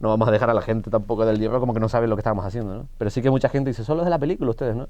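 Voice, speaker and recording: The speaker is a man with a medium pitch and a dark, mellow tone. His pitch shifts in an ordinary way. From Canary Islands. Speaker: actor. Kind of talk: interview.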